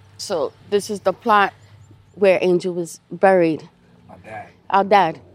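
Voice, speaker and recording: A woman in a New York accent, medium in pitch with ordinary pitch variation, at a fairly slow pace with long, frequent pauses and big swings in loudness. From New York City, the Bronx. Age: 50s. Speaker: nurse telling her family search story. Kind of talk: first-person audio diary narration.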